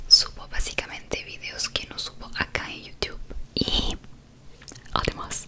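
The voice is a woman's whisper. She keeps a fairly slow pace. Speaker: ASMR creator. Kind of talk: soft ASMR talk to viewer. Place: home room. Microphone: studio mic.

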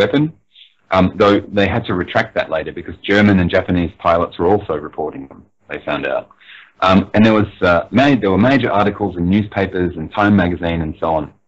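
In a normal speaking voice, a man talks at a fairly quick pace with a fairly low pitch, ordinary pitch variation and big swings in loudness. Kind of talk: interview answer, explaining UFO history.

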